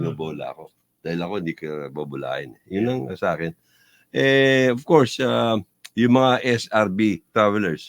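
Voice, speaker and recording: A man speaks at a moderate pace with a fairly low pitch, very wide pitch swings and big shifts in loudness, recorded with a dry, close sound and no echo. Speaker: fraternity member. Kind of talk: casual chat.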